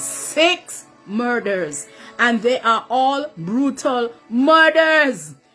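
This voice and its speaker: A woman's high, raised, projected voice with music in the background. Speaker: mother. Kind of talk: emotional selfie video plea.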